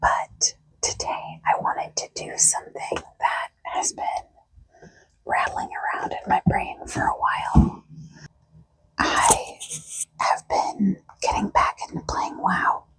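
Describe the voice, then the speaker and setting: Whispering at a very slow pace, the speaker draws out each word. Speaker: ASMR creator. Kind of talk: ASMR makeup chat. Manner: whispered; soft-spoken.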